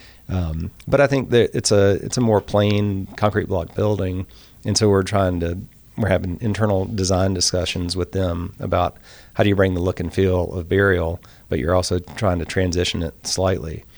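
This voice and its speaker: With a Southern US accent, a man of very deep, low pitch speaks at a moderate pace with fairly even intonation on a very clean recording with a silent background. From US South, rural Mississippi. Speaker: architect. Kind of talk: casual chat.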